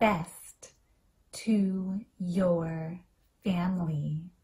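A woman's somewhat breathy voice at medium pitch with a dark, mellow tone and a very slow pace. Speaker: English teacher. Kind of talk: language lesson with phrase repetition. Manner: slow, clear and repetitive.

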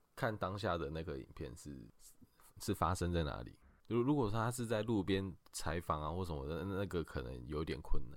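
Using very wide pitch swings and vocal fry, a man with a very deep, low pitch talks at a moderate pace. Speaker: lawyer. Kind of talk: expert legal explanation in a podcast interview. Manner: halting, frequent filler sounds.

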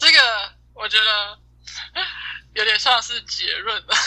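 A woman's voice comes across bright and sharp, with a fairly high pitch. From Taiwan. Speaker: exchange student. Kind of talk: casual chat.

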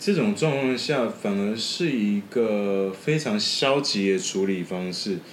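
A man with a fairly low pitch talks at a very slow pace with lively intonation and hardly any pauses, over noticeable background noise. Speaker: podcast editor. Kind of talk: casual chat.

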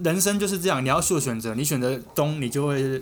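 A man with a fairly high pitch speaks at a fairly quick pace, with audible room echo around him. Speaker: podcast co-host. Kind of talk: casual chat.

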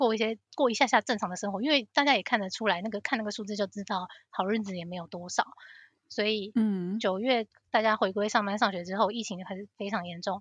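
A woman with a Taiwanese accent speaks at a very fast pace with fairly even intonation and big swings in loudness, in a dry, close sound with no echo. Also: medium pitch for a woman, quiet background. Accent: Taiwanese Mandarin. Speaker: financial analyst. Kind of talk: casual interview chat.

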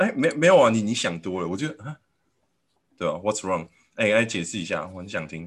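On a very clean recording with a silent background, a man at a fairly low pitch talks at a very fast pace, with big swings in loudness and long, frequent pauses. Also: lively intonation. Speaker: podcast host. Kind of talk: casual chat.

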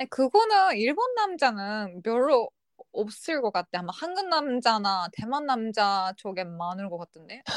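A woman at a very slow pace, fairly high in pitch, with very wide pitch swings and big swings in loudness, in a dry, close sound with no echo. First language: not Korean (speaking Korean). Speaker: podcast co-host. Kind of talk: casual chat.

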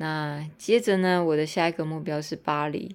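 With a Taiwanese accent, the speaker keeps a moderate pace and fairly even intonation on a very clean recording with a silent background. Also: woman. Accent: Taiwanese Mandarin. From Taiwan (Tainan). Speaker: podcaster and teacher. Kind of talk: casual monologue. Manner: hesitant with fillers and repetitions.

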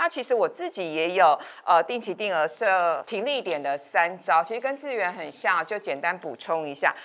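At a moderate pace with hardly any pauses, a woman with an ordinary speaking voice speaks at medium pitch with lively intonation. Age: 50s. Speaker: finance show host. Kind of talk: casual interview about investing.

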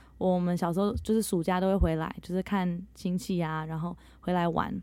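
A woman at a very fast pace, medium in pitch and dark and mellow in tone. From Netherlands. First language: bilingual Mandarin and English (speaking Chinese). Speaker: English teacher. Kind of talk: interview.

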